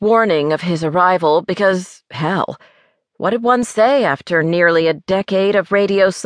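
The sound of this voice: Against a quiet background, the speaker uses an unforced reading voice with ordinary pitch variation.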